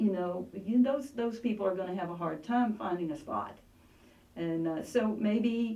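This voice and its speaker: Audible room echo surrounds a woman's voice. Her pitch varies in an ordinary way. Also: medium pitch for a woman, moderate pace. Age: 60s. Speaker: congressional candidate and art teacher. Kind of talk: interview.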